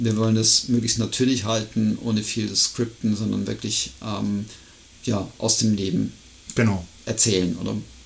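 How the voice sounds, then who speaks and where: Fairly slow, somewhat breathy speech with fairly even intonation. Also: man, fairly low pitch for a man. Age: 50s. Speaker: podcast co-host, amateur trail runner. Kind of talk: casual chat.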